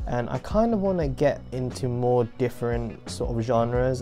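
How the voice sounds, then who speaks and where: Over clear background music, a man with a British accent talks in an upbeat tone at a fairly slow pace. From UK. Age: 20s. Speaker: student. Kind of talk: casual vlog talk to camera. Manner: upbeat, chatty. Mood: cheerful, excited. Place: home room.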